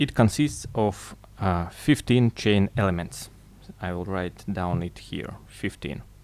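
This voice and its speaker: Speaking with a non-native accent, a man uses a fairly low pitch at a very slow pace. The recording is very clean, with a silent background. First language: not English. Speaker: chainmaille tutorial maker. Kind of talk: tutorial. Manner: halting.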